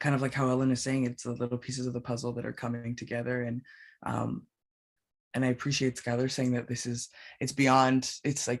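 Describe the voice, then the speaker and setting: A man with a Canadian accent, monotone and flat, fairly quick pace, quiet background. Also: medium pitch for a man. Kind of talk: panel discussion. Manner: fast.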